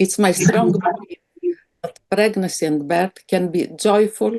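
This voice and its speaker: Against a quiet background, a woman with a Greek accent speaks at a very slow pace. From Greece. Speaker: psychiatrist. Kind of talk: webinar presentation.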